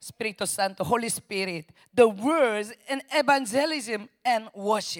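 Recorded dry and close with no echo, a woman speaks at a very slow pace with lively intonation. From South Korea. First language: Korean (speaking Spanish). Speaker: missionary preacher. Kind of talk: sermon. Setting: church. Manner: halting.

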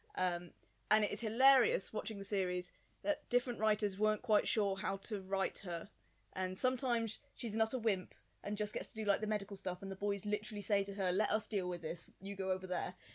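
A woman with an ordinary speaking voice talks at a fairly quick pace and medium pitch, her intonation fairly even. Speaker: podcast guest. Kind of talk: casual chat.

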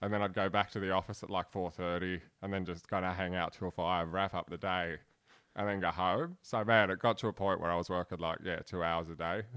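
In a very clean recording with a silent background, a man with a strong Australian accent talks fairly quickly in a very deep, low pitch and a monotone, flat intonation. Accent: broad Australian. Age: 30s. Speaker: comedian. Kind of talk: casual chat.

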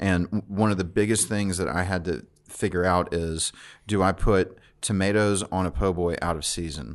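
A man with a Louisiana accent and a very deep, low pitch, fairly even in intonation, against a quiet background. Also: moderate pace. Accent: Louisiana Southern. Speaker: chef and restaurant owner. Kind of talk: casual chat. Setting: studio.

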